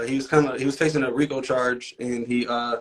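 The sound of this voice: A man at a fairly quick pace.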